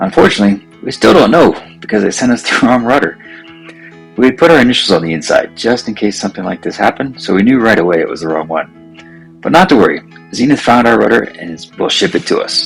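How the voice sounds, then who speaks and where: The speech rushes along at a very fast pace with very wide pitch swings. Music plays in the background. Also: man, medium pitch for a man. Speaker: amateur aircraft builder. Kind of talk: video narration of a build project.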